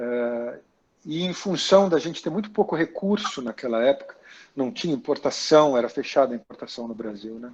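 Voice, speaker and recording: A man's plain, everyday voice, fairly high in pitch, at a moderate pace, with lively intonation and big swings in loudness. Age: 60s. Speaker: actor and makeup artist. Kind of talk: interview about career. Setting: video call.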